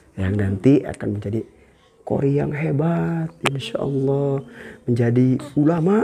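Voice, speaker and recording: A man with lively intonation talks at a fairly slow pace while noticeable background noise plays behind him. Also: fairly high pitch for a man. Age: old. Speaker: Islamic preacher and YouTuber; Islamic preacher, YouTuber. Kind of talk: casual vlog. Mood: warm, cheerful, prayerful. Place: home room.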